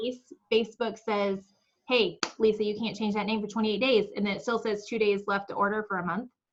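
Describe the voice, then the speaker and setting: This woman's voice sits at a fairly high pitch. She talks at a fairly quick pace. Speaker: direct sales team trainer. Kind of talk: team training call. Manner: fast; animated.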